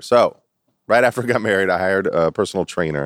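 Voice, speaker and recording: Speaking at a fairly quick pace, a man's very deep, low voice comes across dry and close, with no echo. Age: 40s. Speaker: personal trainer and business owner. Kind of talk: casual chat.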